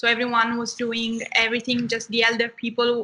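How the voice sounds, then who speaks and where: A woman with an Italian accent speaks in a bright, sharp tone. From southern Italy. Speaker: medical student. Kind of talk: interview.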